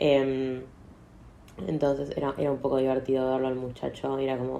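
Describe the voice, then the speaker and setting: At a fairly quick pace, a woman speaks with a very deep, low pitch and a dark, mellow tone. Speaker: podcaster. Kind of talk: casual monologue.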